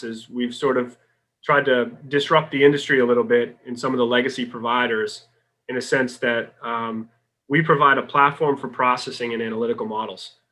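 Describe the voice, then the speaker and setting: A man with a Boston accent speaks at a fairly quick pace and medium pitch. His tone is bright and sharp, with ordinary pitch variation. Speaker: sales executive. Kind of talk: podcast interview.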